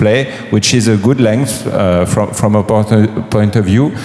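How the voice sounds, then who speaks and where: Background noise is noticeable, and there is audible room echo. The man speaks at a medium pitch. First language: French. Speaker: game publisher. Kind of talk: panel talk. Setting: stage with audience. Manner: halting.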